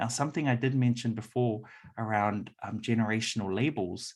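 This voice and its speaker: A man with a New Zealand accent speaks at a medium pitch with ordinary pitch variation. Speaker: workshop presenter. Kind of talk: presentation. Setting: hybrid event, room audience plus Zoom. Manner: frequent fillers.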